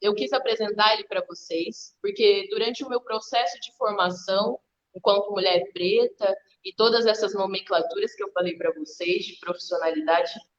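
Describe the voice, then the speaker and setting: This woman has an ordinary speaking voice, fairly high in pitch, with lively intonation. Her loudness swings widely at a moderate pace. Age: 20s. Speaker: activist and artist, live guest. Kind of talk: online live talk.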